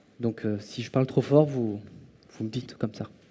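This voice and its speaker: This man talks loudly in a dark, mellow tone. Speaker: conference speaker on eye tracking. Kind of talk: conference talk. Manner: hesitant with fillers.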